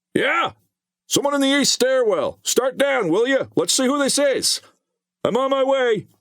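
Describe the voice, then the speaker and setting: A man puts on a character voice pitched extremely high, delivered at a moderate pace. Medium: read story. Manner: authoritative.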